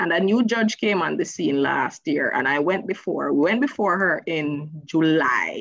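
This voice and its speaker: With a Jamaican accent, a woman speaks fairly slowly with hardly any pauses, her fairly low voice lively in intonation and very even in loudness, the sound dry with no echo over a quiet background. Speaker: lawyer. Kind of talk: round-table panel discussion. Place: home room. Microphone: video call.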